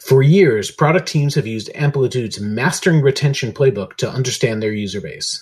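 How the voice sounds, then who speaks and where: An unremarkable speaking voice runs at a fairly quick pace with hardly any pauses. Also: man, medium pitch for a man. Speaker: podcast host. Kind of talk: podcast hosting, conversational.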